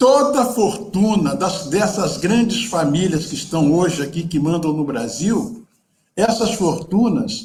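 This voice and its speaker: A man speaks very slowly in a high voice, his intonation lively and full of movement. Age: 70s. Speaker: photographer and activist. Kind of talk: panel talk. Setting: video call. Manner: animated.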